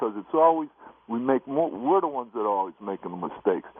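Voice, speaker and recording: A man with an American accent talking very fast. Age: 60s. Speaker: caller. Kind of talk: radio call-in.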